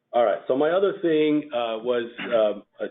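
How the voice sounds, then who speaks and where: This man speaks with a Russian accent. His pitch varies in an ordinary way. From former Soviet Union, Russian-speaking. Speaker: FileMaker developer presenting at user group. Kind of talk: technical presentation. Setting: user group meeting with audience. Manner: casual, with fillers and hesitations.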